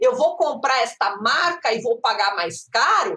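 Her raised, projected voice has a bright, sharp tone and very wide pitch swings. The woman keeps a moderate pace. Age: 50s. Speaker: professor and data science researcher. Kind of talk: interview. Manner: animated.

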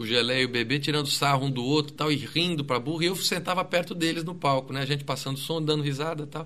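A man's very fast, fairly high-pitched voice with a bright, sharp tone. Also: hardly any pauses. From Greater São Paulo, Brazil (ABC region). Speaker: music researcher and musician. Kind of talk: interview conversation. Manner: casual, with many fillers and repetitions.

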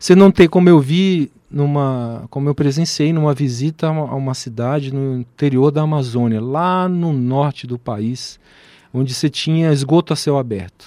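A man's dark, mellow voice at a fairly high pitch, ordinary pitch variation and moderate pace, dry and close with no echo, on a very clean recording with a silent background. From Brasília, Brazil. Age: 40s. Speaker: physician and professor. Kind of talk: radio interview. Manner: hesitant, many fillers.

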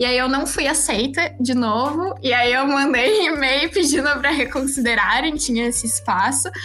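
A woman with a high pitch projects her raised voice at a very even loudness, with ordinary pitch variation. Audible room echo and noticeable background noise fill the recording. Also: moderate pace, hardly any pauses. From Rio Grande do Sul, Brazil (Osório, north coast). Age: 20s. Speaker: young scientist. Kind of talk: interview.

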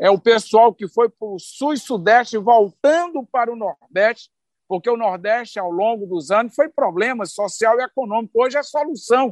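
A man speaks at a moderate pace with an extremely high pitch and ordinary pitch variation, his voice dry and close with no echo against a quiet background. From Brazil, Ceará sertão (Northeast). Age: 50s. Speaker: state agrarian development secretary, former union leader. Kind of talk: interview.

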